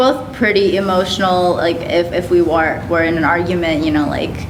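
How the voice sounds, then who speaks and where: Against noticeable background noise and audible room echo, a woman talks at a fairly quick pace. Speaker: podcast guest sharing dating experience. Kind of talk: casual chat. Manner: fast, filler-heavy.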